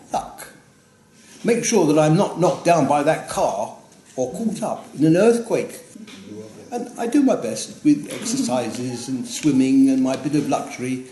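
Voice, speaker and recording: A man speaks at a fairly slow pace, his high pitch moving in very wide swings. Audible room echo and noticeable background noise fill the recording. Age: 90s. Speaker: grandfather giving birthday speech. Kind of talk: prepared birthday speech. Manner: halting, with fillers.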